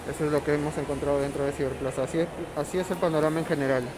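The speaker talks at a very fast pace against noticeable background noise. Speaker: vlogger touring a mall. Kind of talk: casual vlog commentary. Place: market. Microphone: phone near.

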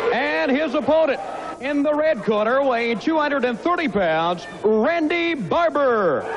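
Over noticeable background noise, a man speaks very slowly at an extremely high pitch. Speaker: ring announcer. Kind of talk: formal ring introduction. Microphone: handheld.

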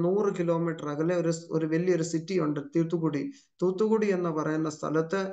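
A man with a high pitch and a dark, mellow tone speaks in a monotone, flat intonation against a quiet background. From Chhattisgarh, India (Kerala-born); Chhattisgarh, India. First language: Hindi (speaking Malayalam). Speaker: pastor. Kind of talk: testimony; sermon. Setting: video call. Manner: frequent interjections like amen and praise. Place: home room. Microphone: video call.

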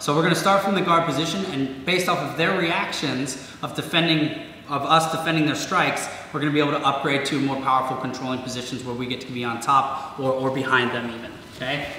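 With light background noise and audible room echo, a man speaks at a very fast pace with ordinary pitch variation. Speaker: martial arts instructor. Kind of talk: tutorial. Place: gym.

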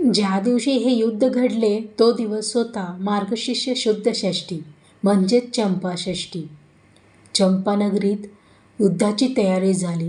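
A somewhat breathy woman with a medium pitch, a dark, mellow tone and fairly even intonation. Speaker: narrator. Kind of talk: devotional story narration with verses.

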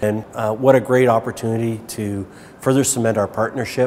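A man at a moderate pace with fairly even intonation, over light background noise. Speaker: shopping centre director. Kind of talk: interview answer. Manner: hesitant, many fillers. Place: shop.

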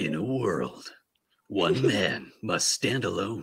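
A man puts on a raspy character voice at a fairly low pitch. He talks at a very slow pace. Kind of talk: dramatic movie trailer. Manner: dramatic.

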